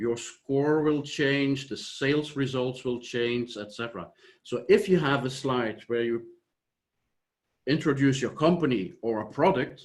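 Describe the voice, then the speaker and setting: Speaking with a Flemish Belgian accent, a man uses a medium pitch. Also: ordinary pitch variation, fairly slow pace. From Flanders, Belgium. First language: Dutch. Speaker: software company founder. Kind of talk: conference presentation. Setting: online conference.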